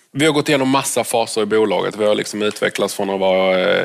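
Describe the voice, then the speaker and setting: Noticeable noise sits behind the recording. A man speaks at a fairly quick pace. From southern Sweden, Lund. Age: 40s. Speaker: doctor and tech entrepreneur. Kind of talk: interview on stage at event.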